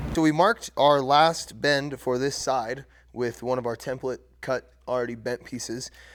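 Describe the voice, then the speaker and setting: A man with a plain, everyday voice and a medium pitch speaks at a moderate pace with fairly even intonation on a very clean recording with a silent background. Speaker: fabrication YouTuber. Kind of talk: workshop tutorial vlog. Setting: workshop.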